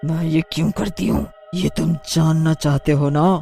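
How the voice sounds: A raspy, cartoonish character voice at a moderate pace, with clear music in the background. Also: woman, very deep, low pitch for a woman.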